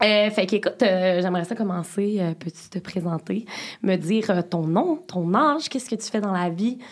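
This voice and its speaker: A woman with a medium pitch talks at a moderate pace. Her pitch varies in an ordinary way. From Beauce, Quebec. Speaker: podcast host. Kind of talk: casual interview. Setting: studio.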